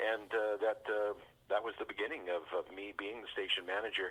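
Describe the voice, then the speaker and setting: A man with a Western Canadian accent talks at a moderate pace. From British Columbia, Canada. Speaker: fire chief, former radio broadcaster. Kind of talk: interview answer.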